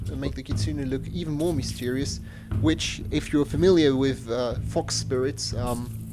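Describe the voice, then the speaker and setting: A man with a non-native accent speaks at a moderate pace over noticeable background noise. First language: not English. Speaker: gaming YouTuber. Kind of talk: casual gameplay commentary. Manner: halting, many fillers and repeats.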